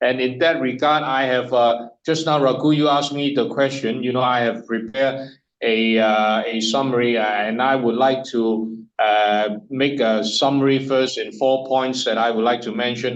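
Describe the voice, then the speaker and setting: Hardly pausing, a man speaks at a moderate pace in a medium pitch with fairly even intonation. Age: 60s. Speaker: business consultant. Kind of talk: webinar presentation. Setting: online webinar. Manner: halting.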